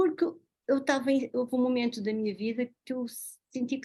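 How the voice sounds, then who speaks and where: A very fast pace, a dark, mellow tone and ordinary pitch variation. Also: woman. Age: 60s. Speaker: doctor. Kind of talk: talk.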